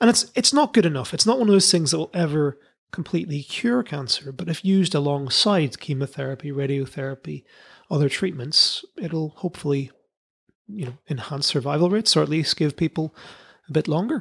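A man with a British accent speaks fairly quickly at a fairly high pitch with lively intonation, in a dry, close sound with no echo. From UK. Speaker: comedy science podcast host. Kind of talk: casual chat. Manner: animated.

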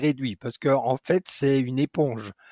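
Recorded dry and close with no echo, a man speaks fairly slowly in a fairly high voice. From France, Dijon. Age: 50s. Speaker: special effects artisan. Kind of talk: interview. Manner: hesitant with frequent repetitions.

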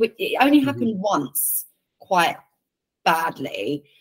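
With an English accent, a woman speaks at a medium pitch, her pitch swinging very widely. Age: 30s. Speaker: football commentator and presenter. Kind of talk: interview.

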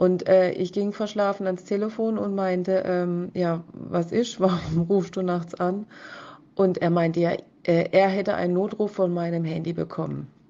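Flat and monotone, a woman's voice sits at medium pitch with a dark, mellow tone. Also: fairly slow pace. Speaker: listener sending a voice message. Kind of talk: voice message testimony. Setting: voice message.

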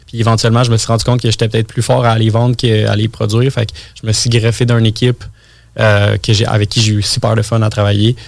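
Talking at a very fast pace, a man keeps a monotone, flat intonation at medium pitch. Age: 20s. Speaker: entrepreneur and marketing guest. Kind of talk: casual interview chat.

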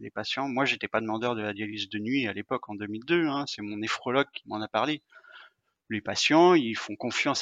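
In a bright, sharp tone, a man talks with ordinary pitch variation against a quiet background, the sound dry and close with no echo. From Brittany, France. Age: 40s. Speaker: sportsman living with dialysis. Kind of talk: interview conversation. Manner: hesitant with fillers and repetitions.

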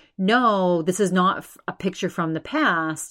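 A woman with an American accent, an unremarkable speaking voice at a fairly low pitch, fairly slow with ordinary pitch variation, on a very clean recording with a silent background. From Massachusetts. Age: 40s. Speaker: podcast host. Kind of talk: casual solo monologue. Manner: frequent fillers and repetitions.

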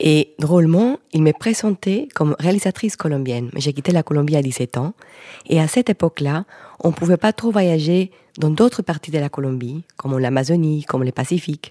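A woman speaks at a very deep, low pitch with a dark, mellow tone and lively intonation, at a moderate pace. The sound is dry and close, with no echo. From Colombia. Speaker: film director and environmental activist. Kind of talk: panel discussion. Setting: stage with audience.

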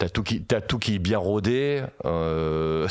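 Noticeable background noise accompanies a man speaking with lively intonation. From Paris region. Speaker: metal singer and illustrator. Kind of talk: casual chat.

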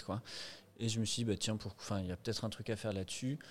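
His voice sits fairly low for a man. The intonation is flat and monotone. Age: 30s. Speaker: shop founder and lawyer. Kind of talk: casual interview.

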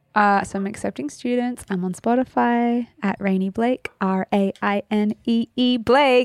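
Speaking very slowly with an Australian accent, a woman uses a medium pitch with ordinary variation on a very clean recording with a silent background and a dry, close sound with no echo. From Sydney, Australia. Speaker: actor and singer-songwriter. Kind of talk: casual chat.

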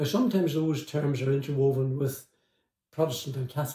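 A man talks with a Northern Irish accent. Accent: Northern Irish (Tyrone). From Northern Ireland, Omagh, County Tyrone. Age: 80s+. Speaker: former IRA prisoner and author. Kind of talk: interview storytelling. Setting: in-person interview.

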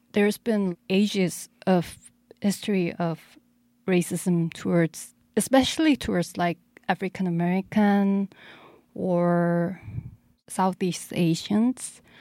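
In a very clean recording with a silent background, a woman with a Korean accent speaks at a medium pitch in a dark, mellow tone with ordinary pitch variation. Her pace is very slow, with long, frequent pauses. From South Korea. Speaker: DJ and music producer. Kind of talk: casual interview. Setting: studio. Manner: halting.

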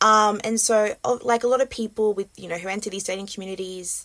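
Fairly quick, fairly even-toned speech from a woman at a medium pitch, with an Australian accent. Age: 20s. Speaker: podcast host. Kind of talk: interview.

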